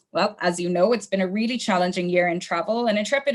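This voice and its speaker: A woman speaks with an Irish accent at a medium pitch. Her pitch varies in an ordinary way. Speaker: travel company sales manager. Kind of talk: webinar sales training. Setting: online webinar, camera off. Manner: casual, friendly with fillers.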